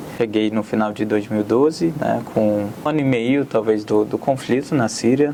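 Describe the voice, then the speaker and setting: A man at medium pitch, intonation fairly even, with noticeable background noise. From Syria, Aleppo. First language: Arabic (speaking Portuguese). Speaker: immigrant, student. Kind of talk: interview.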